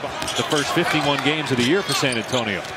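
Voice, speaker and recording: The voice moves at a fairly quick pace. The sound is dry with no echo, but loud noise fills the background. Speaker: play-by-play basketball commentator. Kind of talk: live sports commentary. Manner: fast, fluent, energetic play-by-play patter. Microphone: headset.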